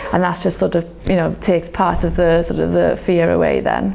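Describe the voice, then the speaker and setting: A woman with a South Wales accent at a fairly quick pace, amid noticeable background noise. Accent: South Wales (Welsh English). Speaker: medical graduate, doctor. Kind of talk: interview answer.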